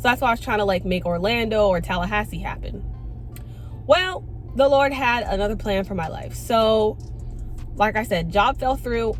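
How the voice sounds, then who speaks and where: A woman speaks at a moderate pace with long, frequent pauses. Music plays in the background, and room echo is audible. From Florida, Tampa. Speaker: vlogger. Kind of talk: testimony. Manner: animated.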